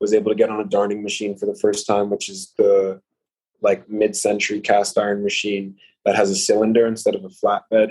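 This man has a New York accent. He speaks at a fairly quick pace. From New York, Uptown Manhattan. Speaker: clothing designer. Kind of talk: casual chat.

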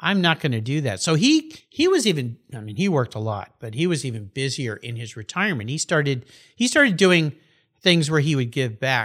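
A man with a normal speaking voice, fairly high in pitch, with lively intonation, on a very clean recording against a silent background. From Southern California. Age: 60s. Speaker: podcast host. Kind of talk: casual interview. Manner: laughs often.

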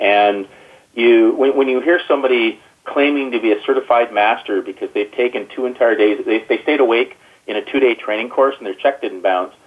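A plain, everyday voice from a man at medium pitch, fairly quick pace, and ordinary pitch variation. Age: 50s. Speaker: agile software consultant. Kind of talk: interview. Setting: phone call.

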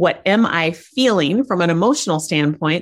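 A woman with an American accent talks in an ordinary speaking voice at a medium pitch. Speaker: life coach. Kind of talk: casual interview chat.

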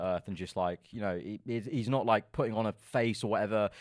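With a London accent, a man speaks at a fairly low pitch with ordinary pitch variation, in a very clean recording with a silent background. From London, England. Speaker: F1 content creator. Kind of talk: casual podcast interview. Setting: studio.

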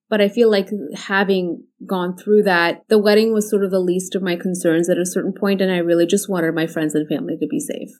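A woman's medium-pitched, ordinary speaking voice with ordinary pitch variation. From US (Indian-born, moved at nine). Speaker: physician, pain doctor. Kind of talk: interview, personal story.

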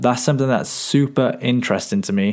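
A man with a British accent at a fairly quick pace, his intonation lively. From UK. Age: young. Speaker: podcast host. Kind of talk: casual interview.

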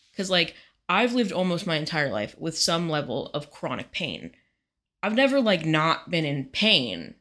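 At a moderate pace, a woman with a fairly low pitch, a bright, sharp tone, vocal fry and very wide pitch swings comes through on a very clean recording with a silent background. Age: 20s. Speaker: podcast co-host. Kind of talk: casual chat.

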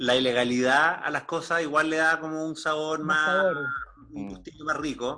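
A man with a fairly high pitch, a bright, sharp tone, ordinary pitch variation and a moderate pace. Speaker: guest sharing life story. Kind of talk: interview.

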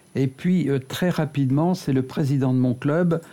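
In a dark, mellow tone, the speaker moves at a fairly slow pace with ordinary pitch variation. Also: man. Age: 70s. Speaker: retired flight engineer. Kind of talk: interview.

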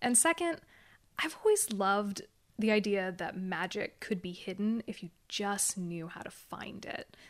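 A woman in an American accent, medium-pitched, with lively intonation and big swings in loudness. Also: very clean recording, silent background. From Oregon. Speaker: young adult fantasy author. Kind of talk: interview.

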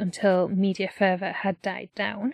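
Recorded very cleanly against a silent background, a woman speaks with a British accent. Her pitch is medium, and the sound is dry and close with no echo. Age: 20s. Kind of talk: reading aloud.

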